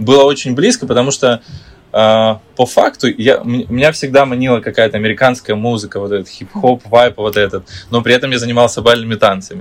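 With a normal speaking voice, a man talks fairly quickly at medium pitch, his pitch varying in an ordinary way. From Ukraine, Kyiv. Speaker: dancer and choreographer. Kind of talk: interview.

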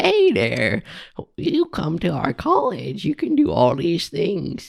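The speaker uses a put-on character voice. Delivery is at a fairly slow pace. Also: man, high pitch for a man.

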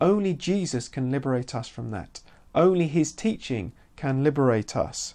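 A British accent over a quiet background. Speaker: Bible teacher. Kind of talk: bible teaching video podcast. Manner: halting, many fillers and repeats.

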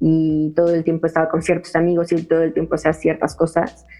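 A woman speaks with a Mexican accent. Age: 20s. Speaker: event organizer for women. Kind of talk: interview. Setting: remote recording. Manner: casual slangy. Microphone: audio problems.

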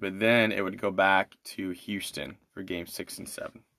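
The background is silent in this very clean recording. A man talks there with fairly even intonation. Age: 30s. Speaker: podcast host reviewing documentaries. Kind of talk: solo podcast commentary. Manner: halting, many fillers and restarts.

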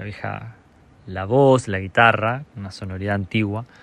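With ordinary pitch variation, a man talks in a plain, everyday voice. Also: quiet background. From Argentina, La Pampa province (small rural town). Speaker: singer-songwriter. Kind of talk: recorded narration presenting his music.

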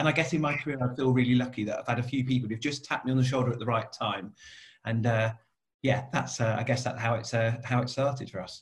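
The delivery is very fast and somewhat breathy, with fairly even intonation. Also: man, medium pitch for a man. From Cornwall, southwest England. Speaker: coach and business owner. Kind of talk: interview conversation.

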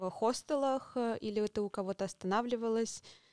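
At a moderate pace, the speech carries fairly even intonation in a dry, close sound with no echo. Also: woman. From Russia. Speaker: podcast host. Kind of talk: interview; scripted intro.

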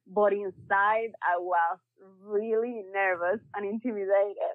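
This woman has a Spanish accent. Her voice sits at a medium pitch. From Cuba. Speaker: energy industry consultant. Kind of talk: casual interview. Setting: call. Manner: enthusiastic.

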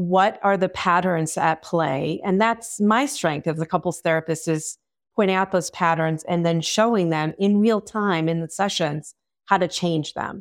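An ordinary speaking voice from a woman, fairly low-pitched with ordinary pitch variation and a fairly slow pace, on a very clean recording with a silent background. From Long Island, New York. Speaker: sex and relationship therapist. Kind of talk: interview.

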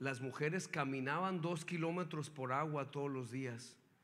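There is audible room echo as a man speaks with an animated tone. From northern Mexico, Hermosillo, Sonora. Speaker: guest preacher. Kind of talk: sermon. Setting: church.

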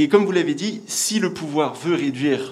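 Moderately paced male speech with ordinary pitch variation. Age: young. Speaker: audience member. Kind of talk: audience question.

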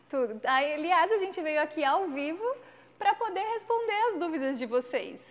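Her pitch extremely high, a woman speaks with very wide pitch swings. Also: moderate pace. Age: 30s. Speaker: podcast co-host. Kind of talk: casual chat. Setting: live stream.

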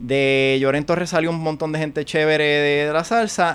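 A man with a fairly high-pitched voice. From Puerto Rico and New York. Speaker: podcast guest. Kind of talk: casual chat.

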